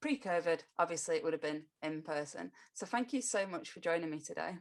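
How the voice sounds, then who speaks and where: In a plain, everyday voice, a woman talks at a fairly quick pace with fairly low pitch, lively intonation and big swings in loudness. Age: 30s. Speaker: podcast host. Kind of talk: podcast interview.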